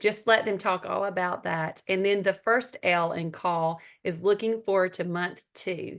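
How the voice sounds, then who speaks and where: A woman speaks with a strong Southern US accent, with hardly any pauses. The background is quiet. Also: medium pitch for a woman, fairly even intonation, fairly slow pace. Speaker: network marketing team leader and mentor. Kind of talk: training talk on a group call.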